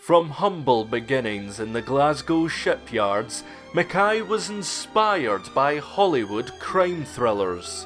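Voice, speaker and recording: A man's very slow speech with hardly any pauses, medium in pitch yet with very wide pitch swings, over music in the background. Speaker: filmmaker. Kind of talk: mockumentary narration.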